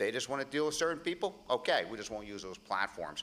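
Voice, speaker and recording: Bright and sharp in tone, a man talks with an American accent. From Pennsylvania. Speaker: congressional candidate; candidate. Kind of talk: political debate. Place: stage. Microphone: podium.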